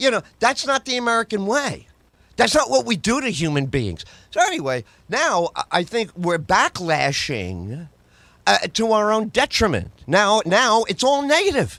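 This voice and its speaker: A man with a high pitch and a bright, sharp, animated tone, very wide pitch swings and a moderate pace, on a very clean recording with a silent background and a dry, close sound with no echo. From New York, the Bronx. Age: 60s. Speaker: comedian and talk radio host. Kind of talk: casual podcast chat.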